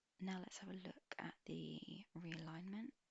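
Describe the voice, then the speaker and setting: Very slow, soft-spoken delivery in a gentle tone. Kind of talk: ASMR roleplay, personal attention spa treatment. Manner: soft-spoken, gentle.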